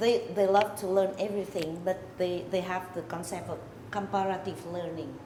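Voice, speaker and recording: Amid noticeable background noise and audible room echo, a woman at medium pitch speaks at a moderate pace in monotone, flat intonation. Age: old. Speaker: HR association member. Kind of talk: interview.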